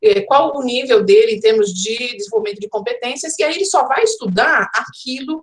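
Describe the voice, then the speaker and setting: The woman's voice is high in pitch with lively intonation. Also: hardly any pauses. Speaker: professor, educational design speaker. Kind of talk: online conference lecture. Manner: fast.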